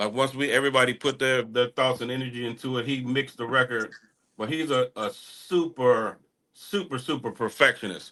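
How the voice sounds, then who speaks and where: Bright and sharp in tone, a man with a Texan accent speaks at a fairly quick pace and medium pitch. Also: ordinary pitch variation. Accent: Texan country. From small-town Texas. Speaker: hip-hop artist. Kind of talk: podcast interview. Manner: casual, profane.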